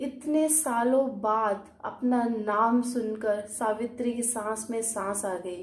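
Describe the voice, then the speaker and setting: This woman has a normal speaking voice at a fairly high pitch. She uses ordinary pitch variation and hardly any pauses. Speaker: storyteller and channel owner. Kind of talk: storytelling narration.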